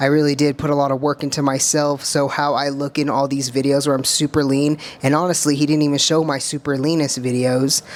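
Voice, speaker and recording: Hardly pausing, a woman with an American accent talks at a fairly quick pace in a very deep, low pitch and a monotone, flat delivery, with noticeable background noise. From US, small towns. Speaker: bodybuilder and content creator. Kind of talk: reaction video commentary. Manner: casual, filler-heavy (um, uh).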